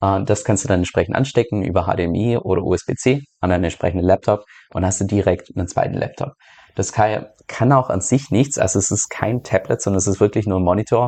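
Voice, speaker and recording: This man has a fairly low pitch and a dark, mellow tone. His pitch variation is ordinary. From Germany. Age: 30s. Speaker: crypto YouTuber and podcaster. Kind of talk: casual Q&A monologue.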